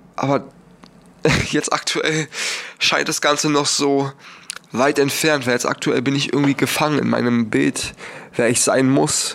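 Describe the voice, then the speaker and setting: Speaking at a fairly slow pace with long, frequent pauses, a man holds a fairly high pitch in a monotone, flat intonation at very even loudness, over noticeable background noise. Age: young. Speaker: podcaster. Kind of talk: personal monologue.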